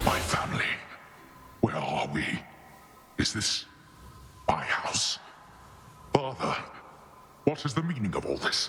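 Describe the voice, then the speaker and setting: Over light background noise, a man uses a growling, put-on character voice at medium pitch, moving at a moderate pace with very wide pitch swings and long, frequent pauses. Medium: video game.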